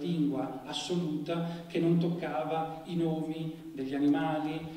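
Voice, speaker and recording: In a room with audible echo, a man talks in a fairly high pitch with monotone, flat intonation. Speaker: literary critic introducing the event. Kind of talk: formal lecture-style introduction. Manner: formal, hesitant, fillers. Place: stage.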